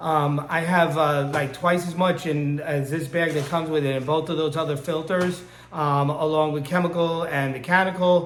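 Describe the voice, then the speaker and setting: A man's fairly high voice at a moderate pace with fairly even intonation, audible room echo and music in the background. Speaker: aquarium hobbyist. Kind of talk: tutorial. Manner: hesitant, many fillers.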